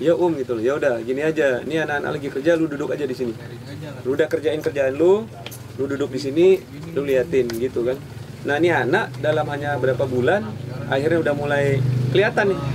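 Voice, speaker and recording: A man speaks at a very fast pace with a fairly high pitch and ordinary pitch variation. Noticeable background noise can be heard. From Malaysia. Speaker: guitarist and graphic designer. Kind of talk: casual chat.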